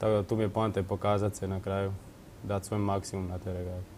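Light background noise sits behind a man speaking with monotone, flat intonation. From Croatia, Vukovar; Croatia. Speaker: rower, athlete; interview guest. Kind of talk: TV studio interview. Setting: TV studio. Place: studio. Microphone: lapel.

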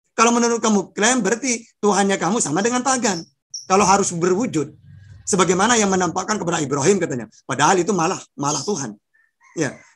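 Against a quiet background, a man speaks very fast at a high pitch. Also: lively intonation. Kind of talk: religious debate. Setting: video call. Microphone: video call.

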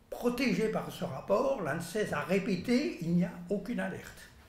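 This man speaks at a very slow pace with lively intonation. His voice is high-pitched, and room echo is audible. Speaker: lab scientist. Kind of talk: press conference. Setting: press room with audience. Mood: earnest, concerned. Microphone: podium.

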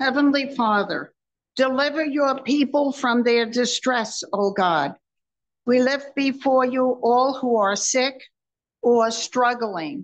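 A woman speaks very slowly in a high voice with ordinary pitch variation. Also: very even loudness. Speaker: congregation member; lay reader. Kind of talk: prayer. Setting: church. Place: church.

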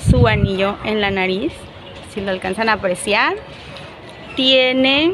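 Fairly slow speech from a woman, noticeable background noise behind it. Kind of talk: casual vlog chat showing a handmade item. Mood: playful, animated. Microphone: lapel.

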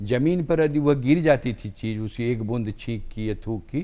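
Here a man speaks at a medium pitch with a dark, mellow tone. He keeps a fairly slow pace and ordinary pitch variation. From Munger district, Bihar, India; Bihar, India. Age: 70s. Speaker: retired Hindi professor and writer; retired Hindi professor. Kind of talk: TV interview. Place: studio. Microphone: lapel.

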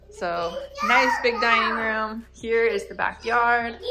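Loud noise fills the background as a woman talks extremely slowly. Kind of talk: casual vlog chat. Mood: excited, cheerful. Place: home room. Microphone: phone near.

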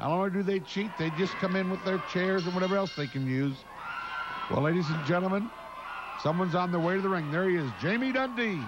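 A man talks very fast in a high voice with an animated, excited tone, ordinary pitch variation and very even loudness. Noticeable background noise runs behind him. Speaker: wrestling commentator. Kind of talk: wrestling commentary. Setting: narrating replay of fan video footage.

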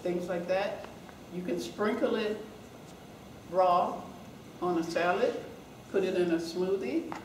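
Over light background noise and audible room echo, a woman talks at a fairly slow pace with long, frequent pauses. Her pitch is medium, with ordinary variation. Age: 70s. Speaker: ultramarathon runner; guest. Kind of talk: seminar talk answering questions. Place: meeting room. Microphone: camera far.

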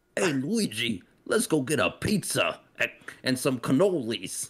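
Using a put-on character voice with a New York accent, a man speaks at a fairly slow pace and a fairly high pitch, with very wide pitch swings. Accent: exaggerated sloppy New York. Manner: mocking.

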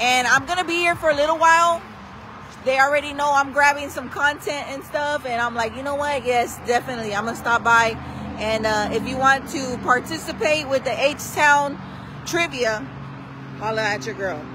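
Raising and projecting her voice, a woman speaks at a moderate pace with ordinary pitch variation, the sound dry with no echo amid noticeable background noise. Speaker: local social media host. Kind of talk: casual vlog chat. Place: street. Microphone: phone near.

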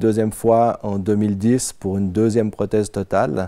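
A dark, mellow tone at a moderate pace, fairly even intonation, quiet background. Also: man. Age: 50s. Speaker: IT worker, insurance surveillance victim; interviewee. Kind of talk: personal testimony; interview answer. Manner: hesitant, with frequent fillers. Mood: calm, serious. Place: home room. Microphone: lapel.

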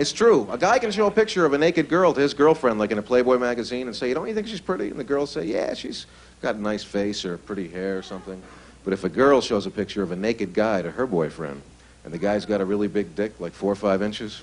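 At a very fast pace, a man with a fairly low pitch talks with lively intonation. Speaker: stand-up comedian. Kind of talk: stand-up comedy routine. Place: stage. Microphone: handheld.

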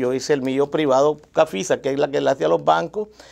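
A man at a very fast pace, quiet background. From Nicaragua, Ometepe island; Nicaragua. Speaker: businessman; guest. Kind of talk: news interview. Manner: halting. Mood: aggrieved, complaining. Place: studio. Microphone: lapel.

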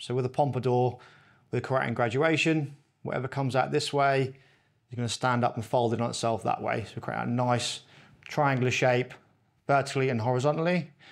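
A man talks at a fairly quick pace with fairly even intonation. The background is quiet. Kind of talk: tutorial. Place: shop.

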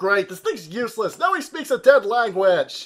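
With an extremely high pitch that swings very widely, a man speaks at a moderate pace, his loudness rising and falling sharply. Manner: exasperated.

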